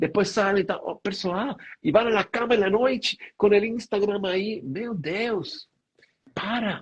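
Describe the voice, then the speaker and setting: Speaking very slowly, a man uses a high-pitched voice with a Spanish accent. His pitch varies in an ordinary way. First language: Spanish (speaking Portuguese). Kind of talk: spiritual talk on live stream. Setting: online live stream. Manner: halting, with fillers.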